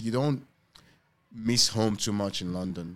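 A man with a Yoruba accent, fairly low in pitch, at a moderate pace. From Lagos, Nigeria. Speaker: restaurant owner. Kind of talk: casual interview conversation.

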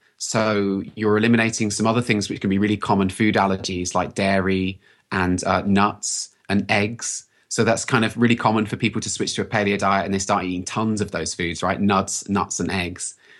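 A man speaks with a British accent at a fairly low pitch, his intonation flat and monotone. He hardly pauses, and the background is quiet. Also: moderate pace. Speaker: health practitioner. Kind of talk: casual interview.

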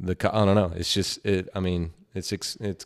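In a very clean recording with a silent background, a man with a Southern US accent speaks in a fairly low voice. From Georgia and Tennessee. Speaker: professional baseball player. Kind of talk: casual chat.

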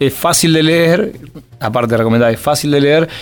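Pitched fairly high, a man speaks in an unremarkable speaking voice with ordinary pitch variation. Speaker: podcast host. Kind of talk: interview.

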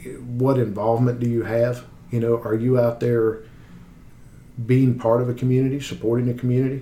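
A man speaks at a fairly quick pace with long, frequent pauses, his voice somewhat breathy, at medium pitch, with a dark, mellow tone. His intonation is monotone and flat, and his loudness stays very even. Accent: Appalachian. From US South, West Virginia. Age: 40s. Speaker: car sales manager. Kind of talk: interview.

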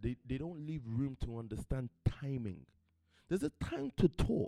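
A plain, everyday voice, a man speaks at a moderate pace and medium pitch with ordinary pitch variation. The sound is dry and close, with no echo. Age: 30s. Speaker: pastor / motivational speaker. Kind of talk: sermon. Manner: conversational, informal.

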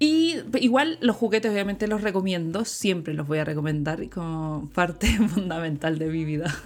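Speaking at a moderate pace, a woman with a Chilean accent shows ordinary pitch variation. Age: 30s. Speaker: sex educator and visual artist. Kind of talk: interview. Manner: casual, with many fillers.

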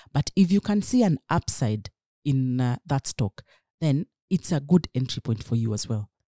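The voice moves at a moderate pace with a dark, mellow tone and very wide pitch swings. The sound is dry and close, with no echo. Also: woman, very deep, low pitch for a woman. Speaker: equities trader. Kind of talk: interview.

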